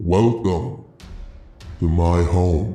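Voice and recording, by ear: Using a put-on character voice, a man booms at a very deep, low pitch, with a slight echo.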